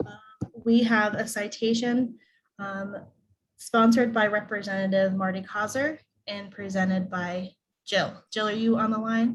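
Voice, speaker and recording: The voice is somewhat breathy, with fairly even intonation and big swings in loudness. It moves at a moderate pace with long, frequent pauses. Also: woman, fairly high pitch for a woman. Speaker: event emcee. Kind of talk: awards ceremony hosting. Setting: video call.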